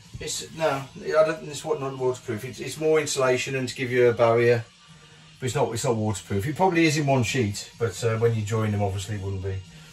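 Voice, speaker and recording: A man talking at a fairly quick pace, with faint music in the background. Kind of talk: casual vlog chat. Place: bathroom.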